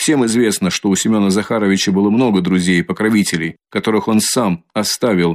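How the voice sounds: A natural reading voice, ordinary pitch variation, and a quiet background.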